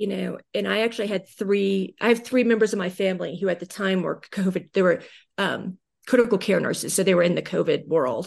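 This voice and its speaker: Against a quiet background, a woman with an American accent speaks at a fairly quick pace in a medium pitch, with vocal fry and ordinary pitch variation. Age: 40s. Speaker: digital marketing consultant. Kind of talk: interview.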